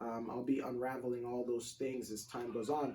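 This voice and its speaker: His tone is dark and mellow. The man's pitch sits at a medium level. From Democratic Republic of Congo. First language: French. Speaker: self-published author. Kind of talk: casual tutorial vlog. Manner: casual, filler-heavy.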